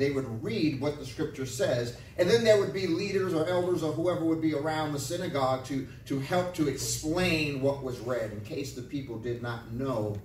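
With audible room echo and light background noise, a man speaks at a moderate pace with hardly any pauses. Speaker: pastor. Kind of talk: sermon. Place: church. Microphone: camera far.

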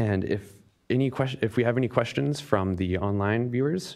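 There is vocal fry in this man's slightly mellow voice. He keeps a moderate pace with ordinary pitch variation.

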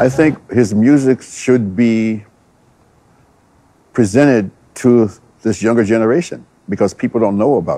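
A man speaks with a dark, mellow tone and ordinary pitch variation. He leaves long, frequent pauses. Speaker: martial arts teacher. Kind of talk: interview answer. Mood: reflective, admiring. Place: gym.

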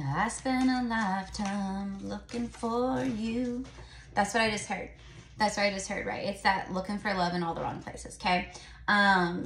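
A woman at a moderate pace with ordinary pitch variation, audible room echo and light background noise. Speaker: tarot reader. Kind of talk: casual tarot reading vlog. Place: home room. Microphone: phone near.

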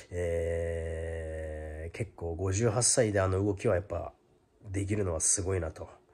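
A man with a very deep, low pitch and a dark, mellow tone sounds somewhat breathy as he speaks at a very slow pace. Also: fairly even intonation. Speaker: YouTuber giving boxing commentary. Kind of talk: casual vlog monologue; casual vlog chat. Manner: hesitant, many fillers. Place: home room. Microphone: phone near.

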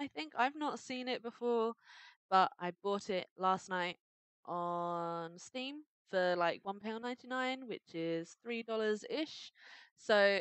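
A woman speaks with a British accent at a medium pitch. Her intonation is lively and her tone upbeat. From Britain. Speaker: gamer. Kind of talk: casual let's play commentary.

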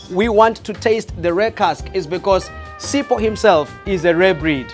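A man talks at a fairly slow pace with ordinary pitch variation. Faint music plays in the background. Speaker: host giving a toast. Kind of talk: toast speech. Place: bar.

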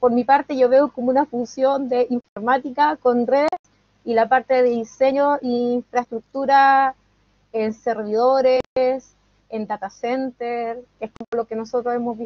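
A woman with a high pitch speaks at a fairly slow pace. The sound is dry with no echo, over a quiet background. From Chile. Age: 30s. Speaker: student. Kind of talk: testimony. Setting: video call. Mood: friendly, smiling. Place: home room. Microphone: video call.

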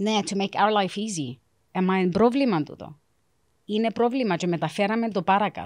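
Pitch varies in an ordinary way, and the delivery holds a moderate pace. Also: woman, medium pitch for a woman, quiet background. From South Africa, Cypriot parents from Varosha; moved to Cyprus 1989; South Africa. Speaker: career guidance counselor; guest. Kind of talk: casual interview chat. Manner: mixes Greek and English. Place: studio. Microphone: studio mic.

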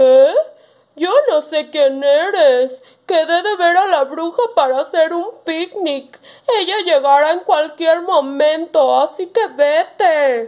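Putting on a character voice, a woman speaks at an extremely high pitch and a fairly slow pace. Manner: brusque, suspicious.

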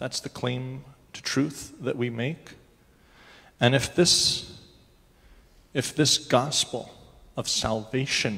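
Very slow man's voice, bright and sharp in tone, with fairly even intonation. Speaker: preacher. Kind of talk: sermon. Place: church.

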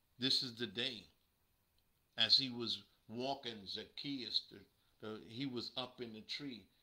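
The voice has a bright, sharp tone, a very slow pace and long, frequent pauses. Its loudness swings widely against a quiet background. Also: man. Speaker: preacher. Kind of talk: sermon. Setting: livestream. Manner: animated. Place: home room. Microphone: webcam.

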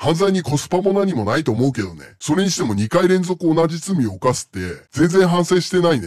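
An unremarkable speaking voice at a fairly quick pace, with lively intonation and hardly any pauses. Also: man, fairly high pitch for a man. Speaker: self-proclaimed genius scientist, friend of host. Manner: stiff, formal questioning.

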